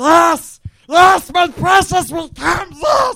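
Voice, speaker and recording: Using a put-on character voice, a man talks at a very slow pace with an extremely high pitch. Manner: craving, whining.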